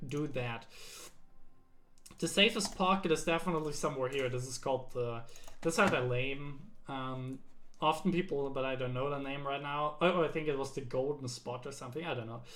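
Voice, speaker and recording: In a room with audible echo, a man speaks at a fairly quick pace in a fairly high voice with ordinary pitch variation. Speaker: game coach. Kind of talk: tutorial. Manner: fast.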